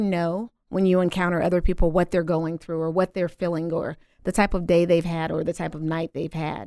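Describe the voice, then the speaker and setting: In a very clean recording with a silent background, a woman with a Southern US accent talks at a fairly quick pace and a fairly low pitch. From US South. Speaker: singer and cosmetics entrepreneur. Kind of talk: casual interview. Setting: studio.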